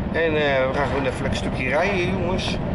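A man's voice over loud background noise. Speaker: vlogger driving. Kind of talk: casual vlog chat. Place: car. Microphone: phone near.

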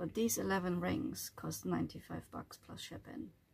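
Noticeable background noise behind a woman at a fairly slow pace. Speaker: van dweller vlogger. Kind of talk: casual vlog chat. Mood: frustrated, exasperated. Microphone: phone near.

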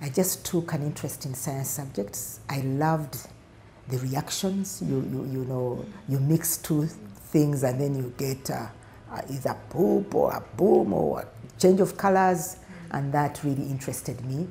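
A woman speaks with a very deep, low pitch and ordinary pitch variation. Her pace is fairly slow, with light background noise behind her. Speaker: interviewee. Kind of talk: interview answer. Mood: warm, fond. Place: office. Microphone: lapel.

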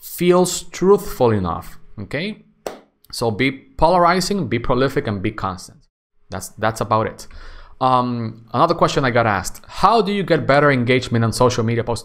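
A man's voice with very wide pitch swings at a moderate pace over a quiet background. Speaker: YouTube content creator. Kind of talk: solo Q&A monologue.

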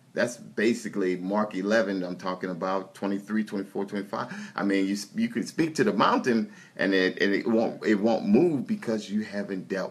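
A man with a fairly low pitch speaks at a fairly slow pace. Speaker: minister praying. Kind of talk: fervent prayer. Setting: online video prayer session. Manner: fervent, call-and-response. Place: home room. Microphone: phone near.

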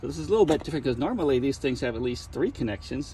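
Light background noise sits behind a man's voice. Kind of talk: tutorial. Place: street. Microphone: phone near.

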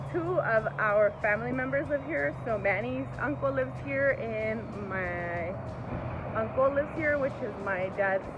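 Music can be heard behind the speaker. She is a woman. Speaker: family vlogger. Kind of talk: casual vlog chat. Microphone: phone near.

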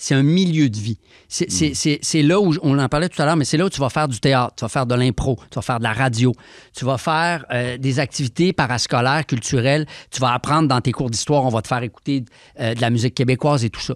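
Over a quiet background, a man speaks at a fairly quick pace and medium pitch with ordinary pitch variation, the sound dry with no echo. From Quebec. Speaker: rapper and author; guest. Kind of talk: interview. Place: studio. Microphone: studio mic.

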